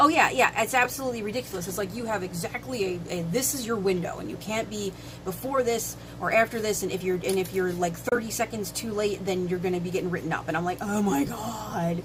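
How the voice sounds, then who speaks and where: Over noticeable background noise, a woman with a medium pitch speaks very fast and with lively intonation. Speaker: livestock farming streamer. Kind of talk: casual live stream chat. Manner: halting, repeated words.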